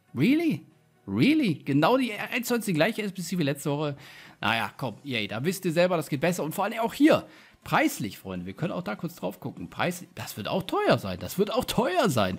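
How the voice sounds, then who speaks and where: On a very clean recording with a silent background, a man with a high pitch speaks at a moderate pace using very wide pitch swings. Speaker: gaming YouTuber. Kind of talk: gameplay commentary with pack openings. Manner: animated.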